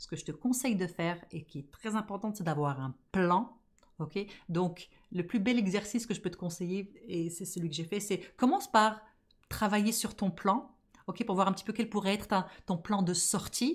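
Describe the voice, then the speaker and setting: Speaking at a moderate pace in an animated tone, a woman with a medium pitch and ordinary pitch variation sounds somewhat breathy, her loudness swinging widely on a very clean recording with a silent background. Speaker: podcast host and business coach. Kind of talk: casual podcast monologue.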